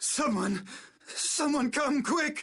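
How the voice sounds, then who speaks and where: A female-sounding, high-pitched voice comes across as raspy. It is a put-on character voice. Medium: video game. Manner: haughty, stammering under pressure.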